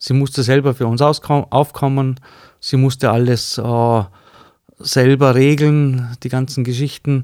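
A man speaks at a very slow pace. His medium-pitched voice stays monotone and flat. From Austria, Vorarlberg (Bludenz district). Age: 50s. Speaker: cabinetmaker. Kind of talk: interview. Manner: hesitant, many fillers.

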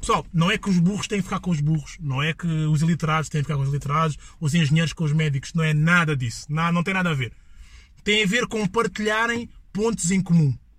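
A man talks very fast in a high pitch with ordinary pitch variation and an animated tone. The recording is very clean, with a silent background. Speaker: podcast host. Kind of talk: casual chat.

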